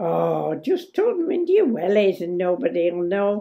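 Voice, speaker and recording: A put-on character voice with an Irish accent rises and falls in a sing-song way. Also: woman, medium pitch for a woman, moderate pace. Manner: lilting, sing-song.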